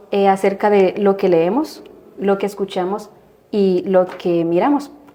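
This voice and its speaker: Noticeable background noise sits behind this woman's voice. She talks at a fairly slow pace with medium pitch and fairly even intonation. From Guatemala. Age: 20s. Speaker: religion student. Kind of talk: religious discussion.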